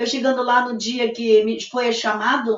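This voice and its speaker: The woman's voice sits at a high pitch. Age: 60s. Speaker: bereaved mother. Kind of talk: testimony. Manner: halting.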